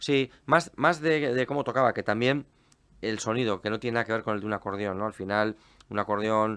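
A man with a plain, everyday voice at medium pitch, ordinary pitch variation and a quiet background. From Basque Country, Spain (Portugalete). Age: 40s. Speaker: folk musician. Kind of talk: casual chat.

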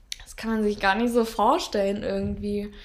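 A moderately paced voice from a woman, pitched fairly high. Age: 20s. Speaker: podcast host, trainee physiotherapist. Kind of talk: casual chat. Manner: halting.

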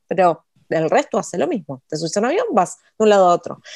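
Speaking with a Rioplatense accent, a woman moves at a fairly quick pace with very wide pitch swings. The recording is very clean, the background silent. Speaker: writer and copywriter, podcast co-host. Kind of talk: casual instructional chat.

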